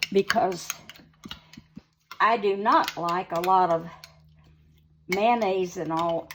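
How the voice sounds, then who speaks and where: The pace is very slow, with long, frequent pauses. The speech comes in an Appalachian accent with fairly even intonation. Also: woman, medium pitch for a woman. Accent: Southern US (Appalachian North Carolina). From North Carolina, USA. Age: old. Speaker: home cook, farmer's wife. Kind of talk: casual cooking demonstration. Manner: spunky, vibrant.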